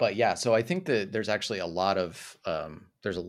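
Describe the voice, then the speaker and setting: A man with an American accent talks at a fairly quick pace in a very clean recording with a silent background. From US, Utah. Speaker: video essayist and content creator. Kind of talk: casual chat.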